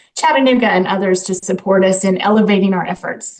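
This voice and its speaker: A woman with an American accent, a medium pitch, ordinary pitch variation and a normal speaking voice. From US South, Dalton, Georgia. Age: 50s. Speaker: nonprofit CEO. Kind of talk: radio interview.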